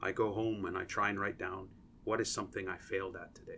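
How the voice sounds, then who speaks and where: A man speaks in a fairly low voice. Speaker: associate professor and engineer. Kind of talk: interview conversation. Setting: podcast recording room. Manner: explanatory, teaching-style.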